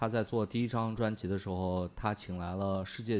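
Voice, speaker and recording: A man speaks in an ordinary speaking voice at a fairly low pitch, with a moderate pace and fairly even intonation. The recording is very clean, with a silent background. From China, small county town. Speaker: music fan. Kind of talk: casual chat.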